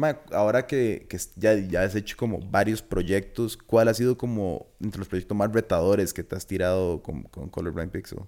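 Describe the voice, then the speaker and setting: A man with a Costa Rican accent talks in a dark, mellow tone at fairly low pitch. He takes hardly any pauses. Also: ordinary pitch variation, moderate pace. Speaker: podcast host. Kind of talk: casual chat.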